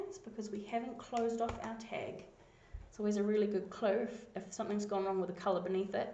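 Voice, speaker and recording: A woman with a New Zealand accent speaks at a fairly quick pace in a medium pitch, her voice somewhat breathy, with audible room echo. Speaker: coding tutor. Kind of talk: screencast tutorial.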